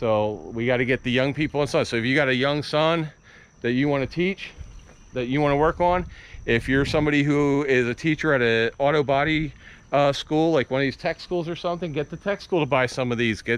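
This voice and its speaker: A man speaks in an ordinary speaking voice at a fairly high pitch and a fairly quick pace, with ordinary pitch variation. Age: 50s. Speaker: car hobby YouTuber. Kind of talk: casual chat on video walkaround.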